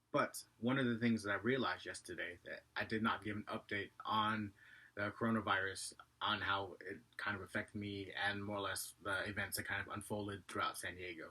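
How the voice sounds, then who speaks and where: With a bright, sharp tone and a fairly low pitch, a man talks at a fairly quick pace in monotone, flat intonation. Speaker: vlogger. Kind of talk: casual vlog monologue. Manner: fast.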